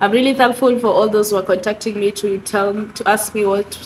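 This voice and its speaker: A woman speaks at a fairly high pitch. The background noise is noticeable. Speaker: vlogger. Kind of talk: casual vlog talk. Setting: bedroom. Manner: breathy, struggling to breathe.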